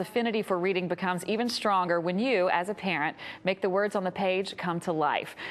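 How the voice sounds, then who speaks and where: Here a woman speaks with a Southern US accent. The background is quiet. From US South. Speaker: TV show host. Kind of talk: TV interview. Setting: TV studio.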